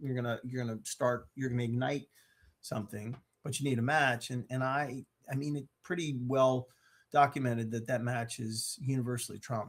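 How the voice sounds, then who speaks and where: In an American accent, a man uses an ordinary speaking voice at a medium pitch. His pace is moderate and his intonation fairly even. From US, Maryland. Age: 60s. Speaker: mental health speaker. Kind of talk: interview.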